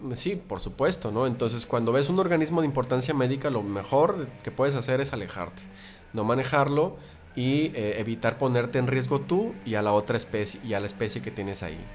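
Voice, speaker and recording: Over music in the background, a man with a medium pitch talks at a fairly quick pace with lively intonation. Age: 30s. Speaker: biologist and teacher. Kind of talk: interview. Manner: hesitant, with fillers.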